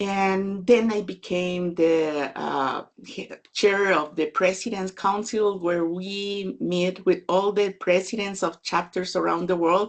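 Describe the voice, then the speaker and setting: At a very slow pace, a woman with a Spanish accent speaks at a medium pitch with fairly even intonation. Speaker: data management consultant and author. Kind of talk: webinar talk.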